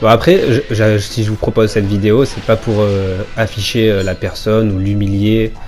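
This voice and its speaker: A man's fairly low voice comes through while music plays behind him. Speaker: gaming YouTuber. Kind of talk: gameplay commentary. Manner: fast; casual, chatty.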